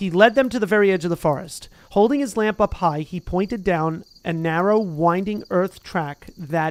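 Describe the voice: The text is read aloud plainly, with ordinary rises and falls in pitch.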